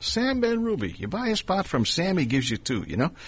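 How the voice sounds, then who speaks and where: His pitch swings very widely as the man talks at a moderate pace. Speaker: radio host. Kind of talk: radio interview.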